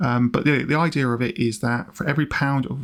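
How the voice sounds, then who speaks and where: Speaking at a fairly quick pace, a man with a medium-pitched voice and a British accent uses ordinary pitch variation. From UK. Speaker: personal finance YouTuber. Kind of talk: vlog-style explanation.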